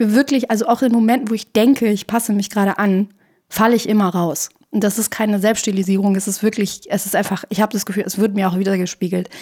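A woman's dark, mellow voice at a very fast pace with fairly even intonation. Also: medium pitch for a woman. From Iran. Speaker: filmmaker and performance artist. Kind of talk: casual chat. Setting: radio studio.

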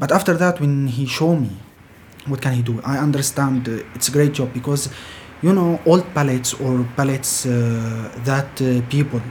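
A man with an Arabic accent at a fairly high pitch, fairly slow pace and ordinary pitch variation, over noticeable background noise. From Syria. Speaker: refugee carpenter. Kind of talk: interview.

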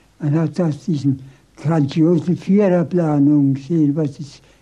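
At a fairly slow pace, the voice has a dark, mellow tone and ordinary pitch variation. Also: man. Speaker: former Nazi-era city planner. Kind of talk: interview.

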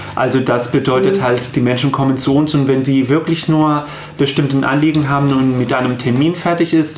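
A man speaks at a moderate pace with fairly even intonation, amid audible room echo and noticeable background noise. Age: 30s. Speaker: psycho-oncologist, counselling centre head. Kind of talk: radio interview. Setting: radio studio.

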